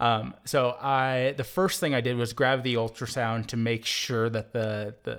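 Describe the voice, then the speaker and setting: On a very clean recording with a silent background, a man talks at a fairly slow pace, medium in pitch and with fairly even intonation. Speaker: emergency physician. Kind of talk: interview storytelling. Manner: hesitant, many fillers, laughs.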